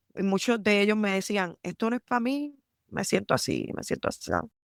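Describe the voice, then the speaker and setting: On a very clean recording with a silent background, a woman with a strong Puerto Rican accent speaks at a medium pitch with ordinary pitch variation. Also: dry, close sound with no echo. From Puerto Rico, San Juan. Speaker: military lawyer. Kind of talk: podcast interview.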